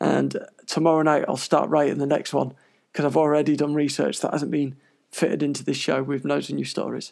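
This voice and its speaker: Talking at a fairly quick pace, a man speaks in a British accent. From United Kingdom. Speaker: podcast host. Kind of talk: solo podcast news monologue. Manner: rambling, chatty.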